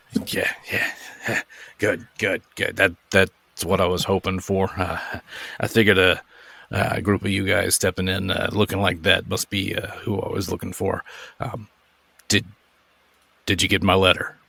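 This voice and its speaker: Using a put-on character voice, a man speaks in a raspy, fairly low-pitched tone with monotone, flat intonation at a moderate pace, broken by long, frequent pauses. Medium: actual play. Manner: hesitant, halting, full of fillers.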